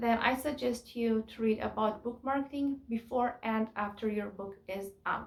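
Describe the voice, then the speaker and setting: A woman speaks at a fairly high pitch with a Kurdish accent. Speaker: self-published poet and YouTuber. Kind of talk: tutorial.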